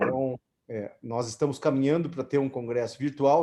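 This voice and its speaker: This man's voice sits at a medium pitch with a dark, mellow tone. His intonation stays fairly even. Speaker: orthopedic surgeon, society president. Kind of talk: closing remarks at online meeting.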